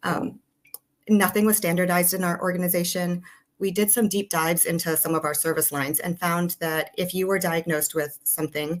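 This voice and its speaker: A woman talks at a fairly quick pace. Her pitch is fairly low, and her intonation stays fairly even. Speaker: nurse leader. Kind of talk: webinar presentation. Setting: webinar. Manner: fast.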